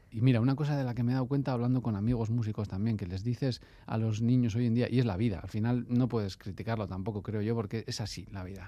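Hardly pausing, a man with a dark, mellow tone speaks at a very fast pace, his medium pitch held in fairly even intonation. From Basque Country, Bilbao. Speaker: musician. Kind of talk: casual interview.

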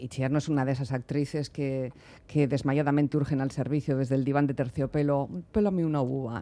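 Fairly high in pitch yet dark and mellow in tone, a man's voice moves at a moderate pace. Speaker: radio host. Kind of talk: radio interview. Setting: radio studio. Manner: talkative.

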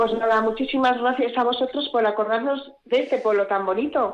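A woman's high voice at a fairly quick clip, with fairly even intonation, very even loudness and hardly any pauses. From Basque Country, Gipuzkoa (Tolosa). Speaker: village council president. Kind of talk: radio interview.

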